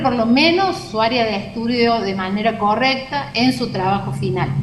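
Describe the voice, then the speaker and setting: A woman speaks at a fairly slow pace with a fairly high pitch. Audible room echo and noticeable background noise surround her voice. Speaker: university lecturer. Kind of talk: lecture. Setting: video call.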